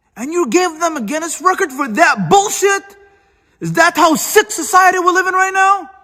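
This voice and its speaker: A man shouting at an extremely high pitch, his voice raised and projected, at a moderate pace with ordinary pitch variation. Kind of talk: social media rant. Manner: loud, yelling.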